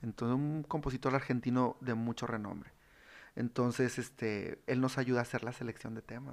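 The recording is very clean, with a silent background. A man speaks at a moderate pace in a normal speaking voice, his pitch medium. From Monterrey, northern Mexico (raised there since 1995). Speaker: regional Mexican musician. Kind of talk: casual chat.

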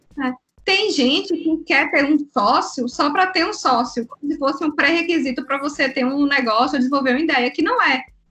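In a raised, projected voice, a woman speaks at a high pitch and a moderate pace. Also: ordinary pitch variation. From Bahia, Brazil. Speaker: business consultant and entrepreneur. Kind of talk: casual chat.

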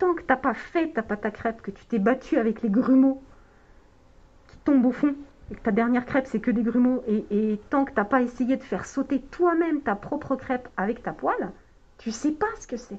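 The loudness swings widely from moment to moment. The pace is moderate, with ordinary pitch variation. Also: woman, high pitch for a woman. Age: 40s. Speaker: chemistry lecturer and researcher. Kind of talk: casual interview. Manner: halting, many hesitations.

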